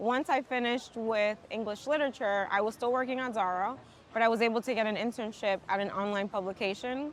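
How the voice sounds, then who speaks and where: Fairly high, fairly quick female speech with fairly even intonation on a very clean recording with a silent background. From New York City, Dominican American. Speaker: tech professional. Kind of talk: casual interview chat. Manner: loud.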